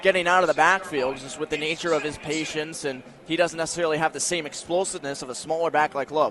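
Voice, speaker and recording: A man's fairly high voice at a very fast pace, with noticeable background noise behind it. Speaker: color analyst, sports broadcast co-commentator. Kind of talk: live football radio analysis.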